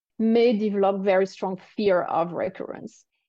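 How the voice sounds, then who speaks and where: A woman talks at a fairly slow pace with a French accent. The background is quiet. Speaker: cancer survivor and coach for women. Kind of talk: podcast interview.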